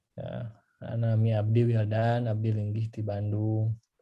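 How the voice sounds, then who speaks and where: In a West Javanese accent, a man speaks at a medium pitch with a dark, mellow tone, somewhat breathy and with monotone, flat intonation. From West Java, Indonesia (Sundanese). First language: Sundanese (speaking Indonesian). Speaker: engineer and former researcher sharing experience abroad. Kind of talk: online talk with Q&A.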